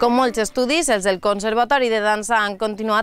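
Here a woman speaks with ordinary pitch variation. The sound is dry, with no echo. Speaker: news presenter. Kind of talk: news reading. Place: open country. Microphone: lapel.

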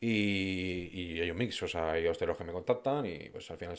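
A man's fairly low voice with ordinary pitch variation against a quiet background. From Madrid, Spain; Spain. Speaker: food influencer. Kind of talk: casual interview chat. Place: studio. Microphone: studio mic.

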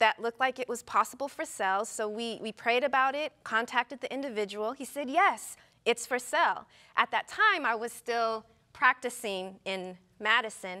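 Over a quiet background, a woman with an American accent and a fairly high pitch talks at a moderate pace with ordinary pitch variation. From US West. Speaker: physician; talk show guest. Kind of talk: casual chat. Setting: studio. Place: studio. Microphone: lapel.

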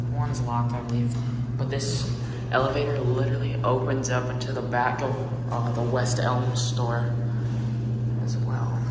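Long, frequent pauses against loud background noise and audible room echo. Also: moderate pace. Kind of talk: casual vlog chat. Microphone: phone near.

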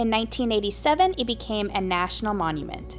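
Clear music plays behind a woman as she talks. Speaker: travel vlogger. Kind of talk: casual vlog chat. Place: open country. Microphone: phone near.

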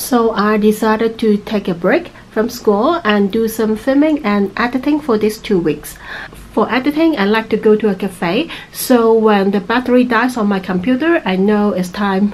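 Her pitch shows ordinary variation. The woman keeps a moderate pace. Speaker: travel vlogger. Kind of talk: casual vlog chat. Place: home room. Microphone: phone near.

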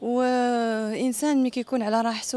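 A woman with a Casablanca accent speaks with fairly even intonation in a dry recording with no echo. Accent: Moroccan Darija, Casablanca. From Morocco, Casablanca. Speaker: singer and actress; actress. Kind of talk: interview. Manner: casual, spontaneous. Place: street. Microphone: handheld.

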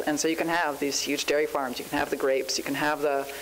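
A woman's very fast voice, fairly even in intonation, over light background noise. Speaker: panel moderator. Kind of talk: introductory talk to an audience. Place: hall. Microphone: podium.

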